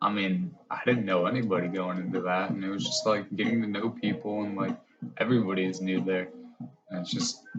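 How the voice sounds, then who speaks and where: A man with an American accent talks at a fairly quick pace, his pitch fairly low with ordinary variation. Music plays in the background. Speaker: podcast host. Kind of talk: casual chat. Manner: stutters at times.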